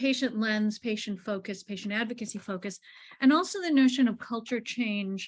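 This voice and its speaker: Somewhat breathy, a woman talks at a moderate pace in a fairly high voice with ordinary pitch variation. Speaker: patient advocate on health task force. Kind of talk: panel discussion comments.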